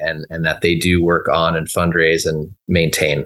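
In a very clean recording with a silent background, a man with an American accent talks at a moderate pace. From US, Southern California (Los Angeles). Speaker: mountain bike media founder. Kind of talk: casual interview chat.

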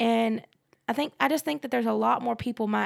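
Very clean, silent-backed audio of a woman talking at a moderate pace. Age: 20s. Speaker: workforce development worker. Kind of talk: casual chat.

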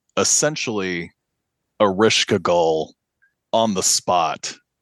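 Speaking very slowly with an American accent, a man sounds dry and close with no echo against a quiet background. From Pakistan, then US Midwest. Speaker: author and religious practitioner. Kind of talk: interview.

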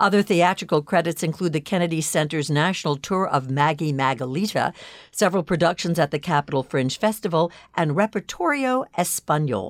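Spoken at a fairly quick pace with very even loudness and lively intonation, an unremarkable speaking voice comes through on a very clean recording with a silent background. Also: woman, fairly low pitch for a woman. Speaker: interviewer host. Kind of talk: interview conversation.

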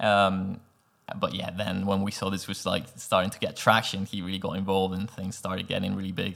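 This man talks at a fairly quick pace in a fairly low pitch, his intonation monotone and flat. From Spain, Canary Islands (Gran Canaria). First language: Spanish. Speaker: app founder and CEO. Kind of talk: casual interview. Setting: studio in Los Angeles.

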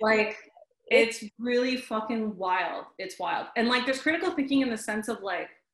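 With a plain, everyday voice, a woman speaks at a moderate pace and a fairly high pitch with ordinary pitch variation. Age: 20s. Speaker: podcast co-host. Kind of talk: casual chat.

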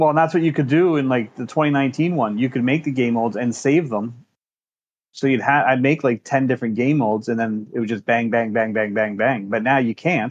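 Here is a man with an ordinary speaking voice, medium in pitch, talking at a fairly quick pace. His pitch variation is ordinary and the background is quiet. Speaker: gaming community member. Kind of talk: casual chat.

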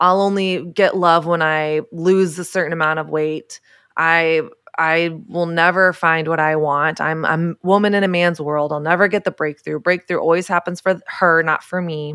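A woman speaks with an American accent in a bright, sharp tone. Her intonation is flat and monotone. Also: fairly low pitch for a woman, moderate pace. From US South. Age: 30s. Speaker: author and speaker. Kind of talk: interview.

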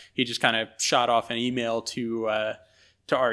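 A man with an American accent speaks at a medium pitch in a bright, sharp tone. The recording is very clean, against a silent background. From Bucks County, Pennsylvania. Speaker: brewer. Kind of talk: interview. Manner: hesitant, many fillers.

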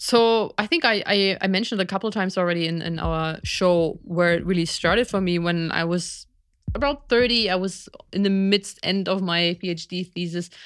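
A woman speaks at a moderate pace. She has a German accent. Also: medium pitch for a woman, ordinary pitch variation. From Germany, village near Berlin. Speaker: biologist and shamanic practitioner. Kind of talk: interview. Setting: live stream.

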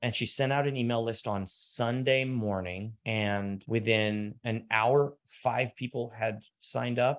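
A man with a normal speaking voice, an American accent, ordinary pitch variation and a fairly slow pace, against a quiet background. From Washington, D.C. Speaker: magician and actor. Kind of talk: interview.

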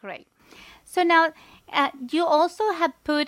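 A woman with a Spanish accent is heard in a very clean recording against a silent background. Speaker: podcast host and insurance broker. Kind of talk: interview.

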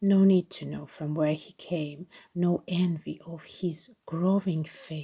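A woman speaks very slowly at a fairly low pitch, her somewhat breathy tone dark and mellow. Her intonation is monotone and flat, with big swings in loudness. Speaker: library staff reader. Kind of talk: poem reading, rhyming children's-style verse.

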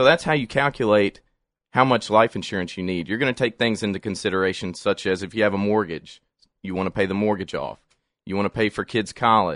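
A man's plain, everyday voice, fairly low in pitch with ordinary pitch variation, in a dry, close sound with no echo. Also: fairly quick pace, quiet background. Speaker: financial advisor. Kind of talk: radio interview about insurance. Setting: studio.

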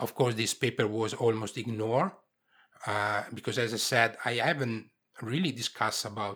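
A man's medium-pitched voice, bright and sharp, with fairly even intonation at a moderate pace. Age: 50s. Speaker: sports science researcher. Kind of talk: interview. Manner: halting, with frequent repetitions.

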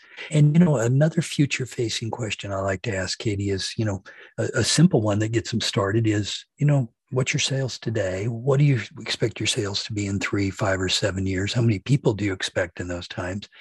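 Somewhat breathy speech with an American accent at a fairly quick pace, ordinary pitch variation, a dry, close sound with no echo and a quiet background. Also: man, medium pitch for a man. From Kansas. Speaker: technology consultant and webinar host. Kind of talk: webinar discussion.

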